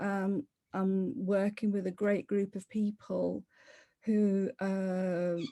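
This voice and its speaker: The voice has a dark, mellow tone. It carries a Leicester accent. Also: woman. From Leicester, England. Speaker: property investor. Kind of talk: interview. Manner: conversational, with fillers and self-corrections.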